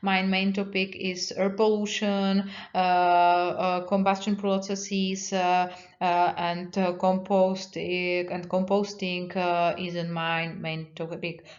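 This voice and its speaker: A woman at medium pitch with a non-native accent, very slow and monotone with flat intonation, amid audible room echo. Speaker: university researcher. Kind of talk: lecture. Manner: halting.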